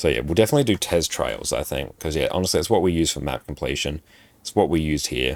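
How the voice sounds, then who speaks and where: The voice rushes at a very fast pace with vocal fry and ordinary pitch variation. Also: man, very deep, low pitch for a man. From South Australia. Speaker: gaming streamer. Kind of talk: casual live stream chat reading viewer comments.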